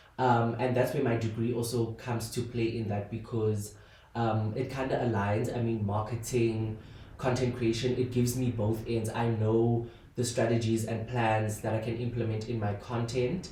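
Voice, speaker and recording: A man speaks at a moderate pace in a medium pitch with flat, monotone intonation, and the room echo is audible. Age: 20s. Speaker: podcast host and content creator. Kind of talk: casual solo podcast monologue. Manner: hesitant, many fillers.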